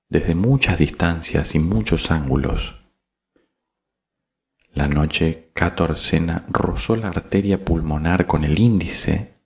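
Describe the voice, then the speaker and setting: Soft-spoken, with vocal fry and a very deep, low pitch, a man speaks at a very slow pace with ordinary pitch variation. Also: very even loudness. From Argentina. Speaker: voice announcer. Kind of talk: audiobook reading.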